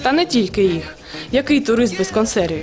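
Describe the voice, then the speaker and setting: Music plays in the background as a woman talks. Her pitch is fairly high and her pace moderate. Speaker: TV reporter. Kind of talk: TV news feature narration.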